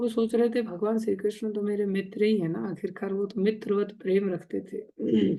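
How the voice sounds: Simply a natural reading voice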